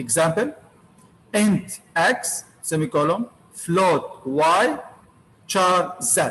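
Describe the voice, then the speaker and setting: A high-pitched man with an Arabic accent, very slow, with long, frequent pauses and lively intonation. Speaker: university lecturer. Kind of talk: lecture. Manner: repetitive.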